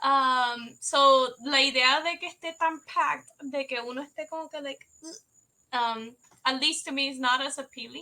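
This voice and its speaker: A woman projects a raised voice with a bright, sharp tone and a high pitch. Her pace is moderate, her intonation fairly even, and her loudness swings widely. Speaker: game developer. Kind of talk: casual chat.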